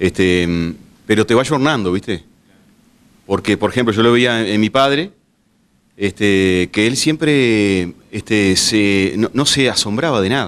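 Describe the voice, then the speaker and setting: A man speaks at a fairly slow pace with a fairly low pitch. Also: lively intonation, very even loudness. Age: 40s. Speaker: bar owner; interviewee. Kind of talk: interview; interview answer. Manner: halting, many fillers. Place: bar. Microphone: handheld.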